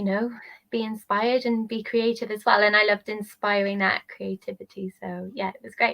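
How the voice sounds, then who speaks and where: In a Welsh accent, a woman talks at a fairly quick pace with a fairly high pitch, a bright, sharp tone, and monotone, flat intonation, the sound dry and close with no echo. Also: big swings in loudness. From Wales. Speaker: travel nanny and maternity nurse. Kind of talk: casual interview. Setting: live stream on social media. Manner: calm.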